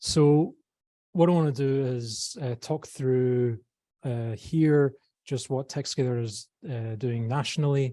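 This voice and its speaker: Soft-spoken and very slow, a man talks at a medium pitch with ordinary pitch variation and a dark, mellow tone. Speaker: tech startup program CEO. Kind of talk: presentation. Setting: live event room with online audience. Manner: hesitant, many fillers.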